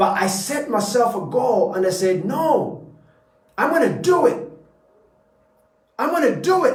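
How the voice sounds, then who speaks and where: A man's extremely high pitch moves in very wide swings, his tone animated at a moderate pace. Audible room echo surrounds the voice. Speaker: motivational speaker. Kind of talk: motivational talk. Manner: stuttering at times.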